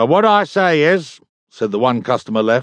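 In a British accent, a man speaks with a fairly high pitch and lively intonation. His pace is moderate, and the background is quiet. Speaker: audiobook narrator. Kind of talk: audiobook narration, dramatic reading of fiction with character voices. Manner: theatrical, wry, animated.

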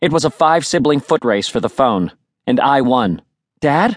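A man speaks at a fairly high pitch with vocal fry, his tone animated and his pitch swinging very widely. The pace is moderate, and the sound is dry and close with no echo over a quiet background. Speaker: audiobook narrator. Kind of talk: dramatic audiobook narration, first-person teen voice with character dialogue. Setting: studio. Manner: animated, expressive, shifting into dad and sibling voices.

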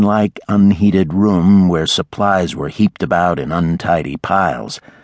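The recording is dry and close, with no echo. A man talks with a very deep, low pitch and ordinary pitch variation. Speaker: audiobook narrator. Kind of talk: dramatic audiobook narration, reading romance fiction aloud. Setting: studio. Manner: gruff, grumbling voice for the storekeeper's lines.

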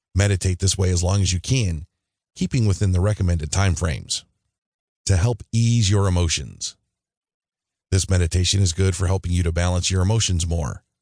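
The voice is somewhat breathy with a gentle, soothing tone, moving at a fairly quick pace with fairly even intonation, recorded dry and close with no echo against a quiet background. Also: man, very even loudness. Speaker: audiobook narrator. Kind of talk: audiobook narration of guided meditation instructions. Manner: calm, steady instructional pacing; gentle, soothing reassurance.

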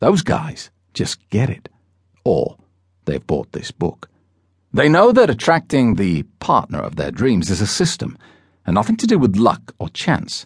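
Using vocal fry and a confident tone, a man at medium pitch speaks with very wide pitch swings and long, frequent pauses. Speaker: audiobook narrator and dating coach. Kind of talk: infomercial sales pitch. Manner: punchy, persuasive, confident hard-sell; brisk, rhetorical questions, hype-driven.

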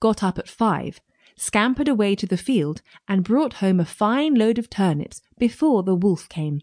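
Against a quiet background with a dry, close sound and no echo, a woman speaks at a moderate pace in a medium pitch, animated in tone and lively in intonation. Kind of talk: audiobook folktale narration. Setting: studio. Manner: animated, storyteller's expressive delivery with character voices.

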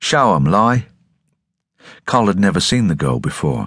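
Spoken at a moderate pace, the voice has noticeable vocal fry. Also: man. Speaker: audiobook narrator. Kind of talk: dramatic audiobook narration of a sci-fi novel, voicing characters in dialogue. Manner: tense, gritty storytelling with shifting character voices; clear, measured pacing with dramatic emphasis.

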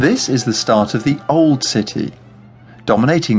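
Moderately paced speech with lively intonation over background music. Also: man. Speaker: audio tour guide narrator. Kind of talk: scripted audio walking-tour narration, history facts then directions. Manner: clear, measured, explanatory pacing.

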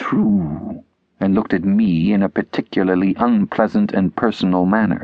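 Over a quiet background, a speaker is reading aloud in a natural voice.

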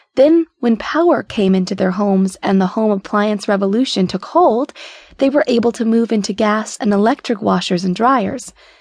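A normal speaking voice from a woman, fairly high in pitch, at a moderate pace with ordinary pitch variation and very even loudness. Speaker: audiobook narrator. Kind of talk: audiobook narration, reading a book's foreword aloud. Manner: even, measured, warm storytelling pace; clear, steady and formal-leaning, like a literary reading.

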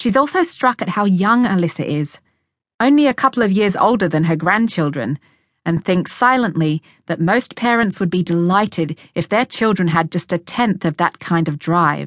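An Australian accent with lively intonation, in a dry, close sound with no echo. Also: woman, medium pitch for a woman, moderate pace. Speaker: audiobook narrator. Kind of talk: audiobook narration of a memoir, read aloud. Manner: measured, clear, storytelling tone.

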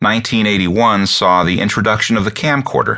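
A man speaks at a fairly slow pace with vocal fry. His fairly low voice has a bright, sharp tone. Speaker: audiobook narrator. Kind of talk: audiobook narration. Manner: steady, even, formal; clear, measured, businesslike.

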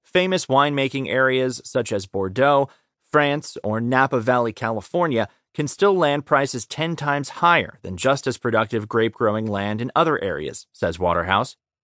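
With a normal speaking voice, a man talks at a moderate pace and medium pitch, his intonation lively and the sound dry and close with no echo. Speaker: audiobook narrator. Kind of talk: audiobook narration of a magazine article, read aloud. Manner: even, measured, formal reading.

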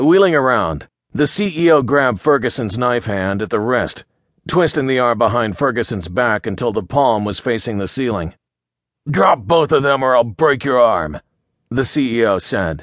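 A man speaks at a medium pitch and a moderate pace over a quiet background. His intonation is lively and his tone animated and menacing. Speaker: audiobook narrator. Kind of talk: dramatic audiobook narration of a crime thriller. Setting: audiobook recording. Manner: tense, gritty, building suspense; animated, shifting into menacing and pleading character voices.

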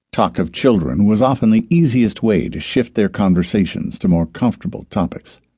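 Someone is reading aloud in a natural voice.

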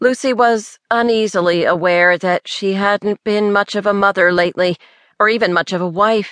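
The text is read aloud in a natural voice.

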